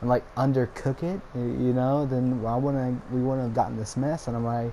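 A man with a plain, everyday voice talks at a medium pitch and a fairly slow pace, his intonation fairly even. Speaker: gaming YouTuber. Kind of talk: casual vlog monologue. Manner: rambling, frequent filler words.

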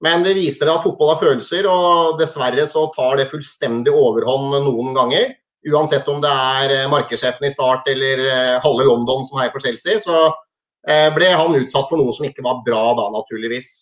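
A man with a fairly high pitch speaks at a moderate pace with ordinary pitch variation in an ordinary speaking voice against a quiet background. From Norway, Hamar; Norway. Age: 40s. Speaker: former football and ice hockey referee; interview guest. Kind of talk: interview. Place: home room. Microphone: video call.

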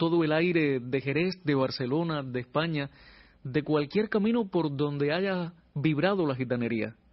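A man's unremarkable speaking voice, fairly high in pitch, fairly slow, with ordinary pitch variation. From Cuba, Pinar del Río. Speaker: radio announcer and singer-songwriter. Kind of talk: interview. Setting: radio studio.

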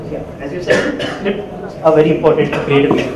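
A man speaks at a fairly slow pace. Audible room echo and loud background noise surround him. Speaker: conference presenter. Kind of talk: lecture. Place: hall.

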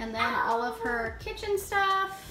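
Clear music behind a woman speaking. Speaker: parent vlogger. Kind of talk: casual vlog chat. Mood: cheerful, upbeat. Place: home room. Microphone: phone near.

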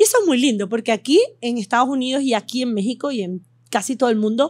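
In a very clean recording with a silent background, a woman speaks at a fairly quick pace in a high pitch. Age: 50s. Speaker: medical doctor. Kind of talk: interview with live audience. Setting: hotel venue with live audience.

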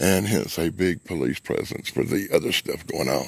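Against a quiet background, a man with vocal fry speaks at a moderate pace in a dry sound with no echo. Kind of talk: casual vlog storytelling. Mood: earnest, storytelling. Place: forest. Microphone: phone near.

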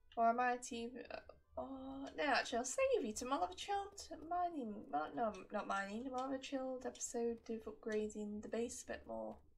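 Noticeable background noise sits under a woman's high voice. She moves at a moderate pace with very wide pitch swings. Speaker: gaming YouTuber. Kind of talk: gameplay commentary. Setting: home recording with mic. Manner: soft-spoken; relaxed.

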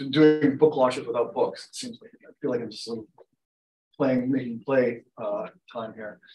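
The man's voice sits at a middle pitch as he talks at a moderate rate. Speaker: academic book editor. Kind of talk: academic panel discussion. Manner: halting, many fillers.

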